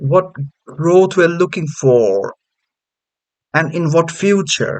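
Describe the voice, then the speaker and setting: The speaker has a non-native accent and talks very slowly. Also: man, high pitch for a man, ordinary pitch variation. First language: not English. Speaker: channel host testing a chatbot. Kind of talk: casual commentary. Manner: halting.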